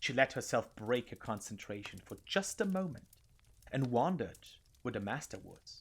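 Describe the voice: Text read aloud, plainly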